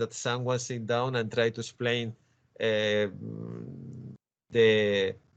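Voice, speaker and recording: A man with a Spanish accent, medium pitch and a fairly slow pace. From Spain. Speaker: comics scholar and author. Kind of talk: interview conversation. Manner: halting, many repetitions.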